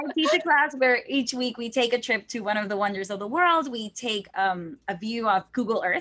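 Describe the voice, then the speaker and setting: A woman with a Spanish accent speaks in a fairly high pitch with a bright, sharp tone and lively intonation. She keeps a moderate pace with hardly any pauses. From Texas. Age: 20s. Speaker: language teacher. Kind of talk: interview.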